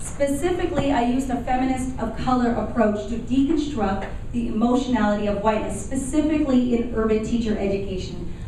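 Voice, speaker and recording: A woman with an American accent talks at a fairly quick pace with hardly any pauses, her pitch high and its variation ordinary. Noticeable background noise and audible room echo fill the recording. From Los Angeles, US. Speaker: professor. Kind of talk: public lecture. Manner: loud.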